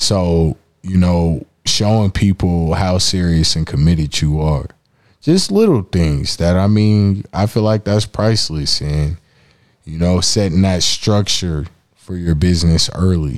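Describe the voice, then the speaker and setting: A man speaks in a very deep, low pitch with ordinary variation. His pace is fairly slow. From Denver, Colorado. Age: 30s. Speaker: podcast co-host and musician. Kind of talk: casual chat.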